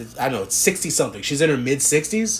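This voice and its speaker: The delivery is very fast and somewhat breathy. Its pitch swings very widely. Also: man. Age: 30s. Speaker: podcast host. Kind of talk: casual monologue. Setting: home room with door to backyard. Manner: rambling, filler-heavy.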